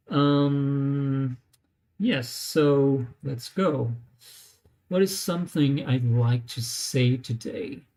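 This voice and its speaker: Someone with a non-native accent speaks at a very slow pace. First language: not English. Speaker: language learner vlogger. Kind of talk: live tutorial. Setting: live stream on laptop. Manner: hesitant, many fillers.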